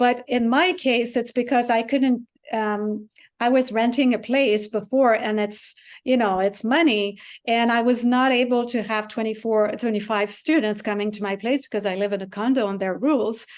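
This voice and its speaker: A woman in a Quebec accent, with fairly even intonation and a quiet background. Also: fairly high pitch for a woman, moderate pace. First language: French. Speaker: piano teacher and composer. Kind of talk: interview.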